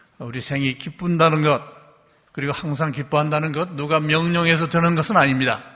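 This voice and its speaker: A man's bright, sharp, fairly high voice at a fairly quick pace, with fairly even intonation. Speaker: retired bishop. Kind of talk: sermon. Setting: church.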